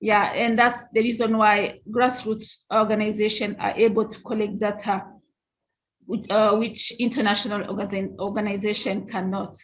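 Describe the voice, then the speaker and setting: At a moderate pace, a woman with a fairly high, somewhat breathy voice talks in a monotone, flat intonation, with big swings in loudness. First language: not English. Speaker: grassroots nonprofit leader. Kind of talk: panel discussion.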